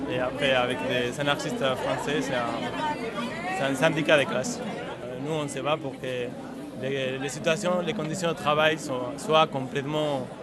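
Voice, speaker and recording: A man's fairly high voice, with ordinary pitch variation, moves at a fairly slow pace through audible room echo and noticeable background noise. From Spain. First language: Spanish (speaking French). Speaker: union activist. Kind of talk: street interview. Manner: halting, many repetitions.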